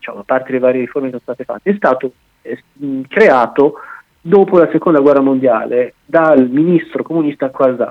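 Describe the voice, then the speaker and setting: A man's plain, everyday voice, fairly high in pitch, at a moderate pace with ordinary pitch variation. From Italy, Bologna. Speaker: commentator on French politics and unions. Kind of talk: radio interview.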